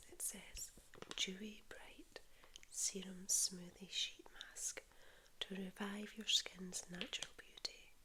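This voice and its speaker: A woman whispers very slowly, her loudness swinging widely. Noticeable background noise runs underneath. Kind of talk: ASMR haul, soft spoken and whispered show-and-tell. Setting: lives in Spain. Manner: soft-spoken, relaxing, slow.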